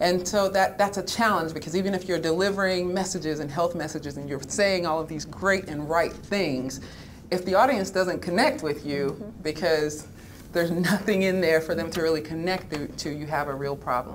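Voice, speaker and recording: The voice moves at a moderate pace with ordinary pitch variation over light background noise. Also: woman, fairly low pitch for a woman. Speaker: health advocate; panelist. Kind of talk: panel discussion. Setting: stage with audience. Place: meeting room. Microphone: podium.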